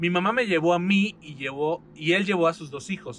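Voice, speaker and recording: Over music in the background, a man with a Mexican accent and fairly high pitch speaks in an animated tone with ordinary pitch variation. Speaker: podcast host. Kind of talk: casual chat.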